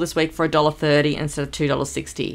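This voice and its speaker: A woman's voice with vocal fry. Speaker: homemaker vlogger. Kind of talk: casual vlog chat. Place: home room.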